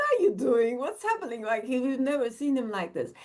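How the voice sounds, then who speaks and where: A high-pitched, animated woman's voice. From Turkey. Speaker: AI entrepreneur and executive. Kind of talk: podcast interview. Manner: halting, self-interrupting.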